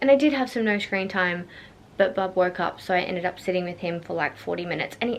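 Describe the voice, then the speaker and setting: A woman with an Australian accent talks at a very fast pace, medium in pitch. Her intonation is lively, and there is noticeable background noise. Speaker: vlogger, new mother. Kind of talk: casual vlog. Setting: at home.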